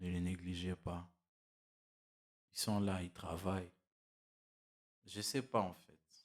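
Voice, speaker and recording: Speaking very slowly with long, frequent pauses, a man uses a very deep, low pitch and fairly even intonation while his loudness swings widely. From DR Congo. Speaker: motivational YouTuber. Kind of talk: motivational monologue. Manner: halting, with many repetitions and fillers.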